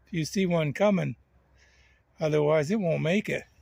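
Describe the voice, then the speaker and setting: The pitch varies in an ordinary way. It belongs to a man. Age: 60s. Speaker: e-bike owner and reviewer. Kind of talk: product review talk to camera.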